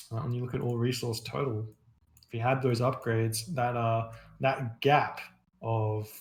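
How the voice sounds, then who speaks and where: The voice is quiet and moves at a moderate pace. Long, frequent pauses break up the speech. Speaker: game commentator. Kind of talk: live commentary. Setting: live stream. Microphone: too quiet on stream.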